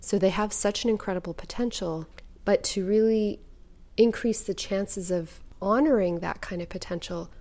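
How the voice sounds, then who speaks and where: A woman with a plain, everyday voice, medium in pitch, with fairly even intonation. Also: very clean recording, silent background. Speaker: podcast host and writer. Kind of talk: reading aloud own articles.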